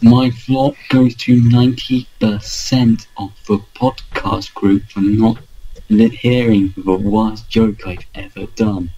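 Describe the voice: A somewhat breathy, dark, mellow voice with fairly even intonation at a very slow pace. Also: man, medium pitch for a man.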